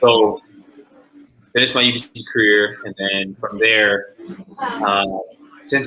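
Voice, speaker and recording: A man's fairly low, flat monotone at a moderate pace, with noticeable background noise. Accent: Canadian. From Vancouver, Canada. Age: 20s. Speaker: professional basketball player. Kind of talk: interview.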